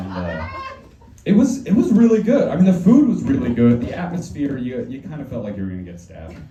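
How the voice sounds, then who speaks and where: A man talks very fast while noticeable background noise and audible room echo fill the recording. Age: 20s. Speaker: stand-up comedian. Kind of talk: stand-up. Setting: stage with audience.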